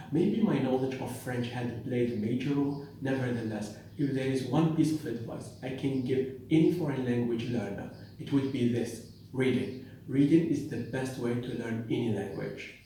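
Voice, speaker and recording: With a non-native accent, a man speaks at a moderate pace and medium pitch with ordinary pitch variation, in audible room echo. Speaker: pharmacist and language teacher. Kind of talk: educational talk.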